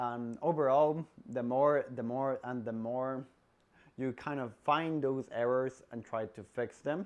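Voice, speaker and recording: A man with a non-native accent talks at a fairly slow pace, medium in pitch, with fairly even intonation. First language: not English. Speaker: salesperson giving career advice. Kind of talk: casual advice vlog.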